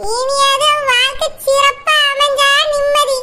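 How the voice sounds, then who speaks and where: A woman's cartoonish character voice, extremely high in pitch, with monotone, flat intonation. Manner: calm, warm.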